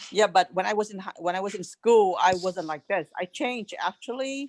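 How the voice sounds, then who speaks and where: In a Vietnamese accent, a woman speaks at a moderate pace with ordinary pitch variation, in a dry, close sound with no echo. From Vietnam, rural village. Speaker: refugee, interviewee's mother. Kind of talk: casual family interview. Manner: animated, outspoken.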